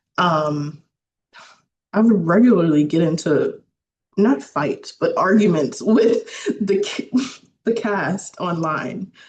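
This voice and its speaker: Somewhat breathy and medium in pitch, a woman speaks at a very slow pace with lively intonation and long, frequent pauses. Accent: American. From US South, Louisiana. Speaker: filmmaker. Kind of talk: casual interview chat.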